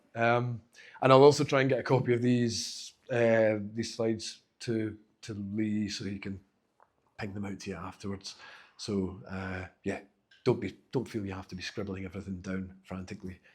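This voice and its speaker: A man with a Glaswegian accent, fairly low in pitch, with fairly even intonation. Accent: Glaswegian Scottish, noticeable. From Scotland, Glasgow. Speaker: accessibility specialist giving a talk. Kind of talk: conference talk. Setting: stage with live audience. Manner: fast; casual, halting with fillers.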